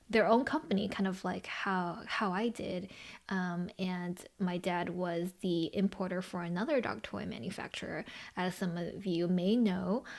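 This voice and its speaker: Speaking with a Californian accent, a woman talks at a fairly slow pace in a medium pitch with ordinary pitch variation. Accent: American, Californian. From Los Angeles, US (early childhood in China). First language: Chinese. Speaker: podcast co-host and brand founder. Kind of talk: casual podcast conversation.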